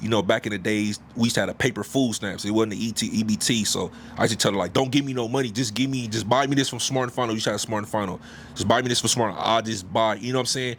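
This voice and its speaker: A man talks at a very fast pace with fairly even intonation and a medium pitch. Noticeable background noise runs behind him. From South Central Los Angeles. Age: 40s. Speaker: podcast co-host. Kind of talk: casual interview conversation. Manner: halting, with many fillers and repeats.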